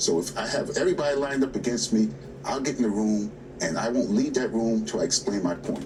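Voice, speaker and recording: A man talking at a very fast pace with lively intonation, against noticeable background noise. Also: medium pitch for a man. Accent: New York. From New York City, Queens. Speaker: labor union president. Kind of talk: TV news interview. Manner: emphatic.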